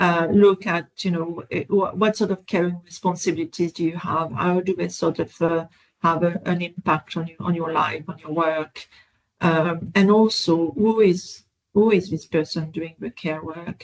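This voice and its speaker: This voice carries a non-native accent. It moves at a moderate speed. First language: not English. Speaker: professor, researcher. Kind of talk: webinar interview. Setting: online webinar. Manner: halting, many fillers and restarts.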